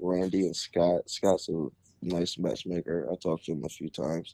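A man with an American accent has a very deep, low pitch and a dark, mellow tone. He talks at a moderate pace with fairly even intonation, in a dry, close sound with no echo. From Ohio, Canton area. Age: 20s. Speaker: amateur mixed martial artist. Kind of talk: interview.

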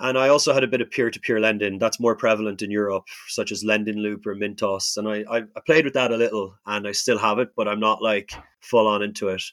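Speaking very fast with fairly even intonation, a man with an Irish accent is heard in a dry, close sound with no echo. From Ireland. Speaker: hospitality worker and traveler. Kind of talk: interview.

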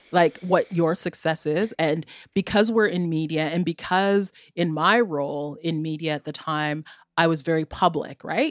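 With a Canadian accent, a normal speaking voice comes through with fairly even intonation in a dry, close sound with no echo. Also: woman, fairly low pitch for a woman, moderate pace. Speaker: radio host and journalist. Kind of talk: casual interview conversation.

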